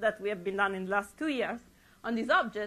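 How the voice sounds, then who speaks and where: A woman is speaking. Her tone is bright and sharp. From Europe. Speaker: astrophysicist. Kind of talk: public lecture. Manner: halting with frequent restarts.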